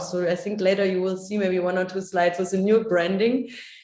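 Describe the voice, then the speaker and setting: Over audible room echo, a woman at medium pitch speaks in a flat, monotone way. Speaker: workshop trainer. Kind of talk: workshop presentation. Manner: fast.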